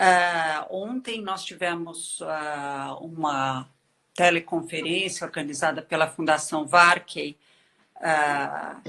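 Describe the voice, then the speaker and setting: Against a quiet background, a woman speaks very slowly with a very deep, low pitch, a bright, sharp tone and ordinary pitch variation. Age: 60s. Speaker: education expert. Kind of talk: interview. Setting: video call.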